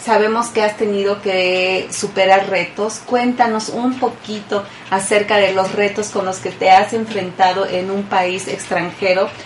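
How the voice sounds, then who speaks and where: Over noticeable background noise, a woman speaks at medium pitch and a fairly slow pace in a monotone, flat intonation. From Mexico. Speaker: radio host. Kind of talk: radio interview.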